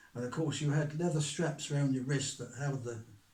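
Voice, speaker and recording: This man's voice sits fairly high in pitch, with fairly even intonation. Background noise is noticeable. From England. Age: 80s+. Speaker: author. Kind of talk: interview answer.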